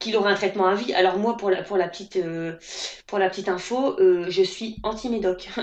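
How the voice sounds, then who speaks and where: A woman with a northern French accent speaks at a moderate pace and medium pitch. Noticeable background noise can be heard. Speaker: naturopath. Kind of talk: interview answer. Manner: casual, hesitant.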